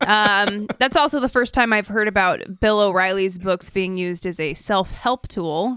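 On a very clean recording with a silent background, a woman speaks fairly slowly at a medium pitch in a bright, sharp tone with ordinary pitch variation. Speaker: podcast co-host. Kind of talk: casual political chat. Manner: laughs often.

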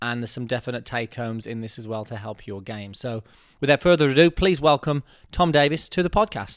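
A man with an ordinary speaking voice talks at a medium pitch and a fairly quick pace, his intonation lively and the sound dry and close with no echo. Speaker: golf podcast host. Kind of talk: casual interview chat.

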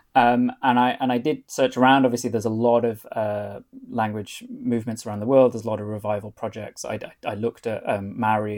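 A man with a North Welsh accent talks at a very fast pace with fairly even intonation. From North Wales. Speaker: author and foreign correspondent. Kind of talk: interview.

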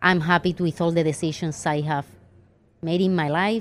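Her strong Andalusian accent comes through as a woman speaks at a moderate pace, fairly low in pitch with fairly even intonation. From southern Spain (Andalusia, Ronda). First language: Spanish. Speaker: financial planner. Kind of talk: interview. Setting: live event recording.

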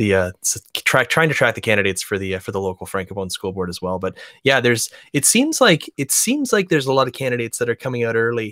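A man talks at a very fast pace in a medium pitch with ordinary pitch variation and a bright, sharp tone. The sound is dry and close with no echo, on a very clean recording with a silent background. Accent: Albertan. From Alberta, Canada. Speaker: podcast host. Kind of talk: political panel discussion.

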